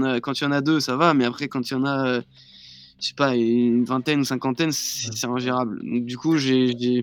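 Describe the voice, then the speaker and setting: A man's voice at a medium pitch. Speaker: DJ and music producer. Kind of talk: casual live-stream interview.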